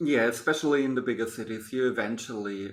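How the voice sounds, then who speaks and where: A man with a German accent at a moderate pace. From Germany. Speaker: podcast host. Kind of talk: casual interview chat.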